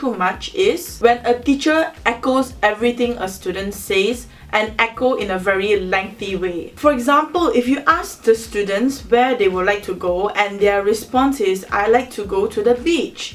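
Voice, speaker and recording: A woman speaks in a normal speaking voice with a fairly high pitch. Her intonation is lively, and she hardly pauses at all. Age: 20s. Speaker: university student. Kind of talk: educational talk to camera.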